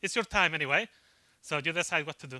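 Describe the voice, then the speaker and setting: This man's voice has a bright, sharp tone and a Spanish accent. The sound is dry and close with no echo, on a very clean recording with a silent background. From Spain. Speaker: IT consultant. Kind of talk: conference talk. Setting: stage with audience. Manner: fast.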